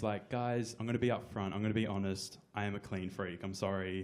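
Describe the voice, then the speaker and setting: In a room with audible echo, a man with an Australian accent talks at a very fast pace. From Australia (Brisbane). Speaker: comedian. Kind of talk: stand-up. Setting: stage with audience. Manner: hesitant, many fillers.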